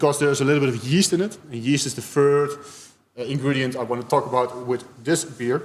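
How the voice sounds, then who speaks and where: With a Dutch accent, a man speaks at a fairly high pitch and with fairly even intonation. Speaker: beer tasting host. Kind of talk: live-streamed beer tasting talk. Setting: live stream. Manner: halting, many hesitations.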